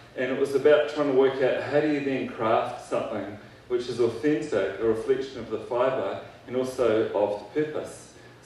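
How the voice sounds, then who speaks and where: Fairly even intonation carries a man's speech through audible room echo and light background noise. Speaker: keynote speaker. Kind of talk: keynote speech. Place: hall.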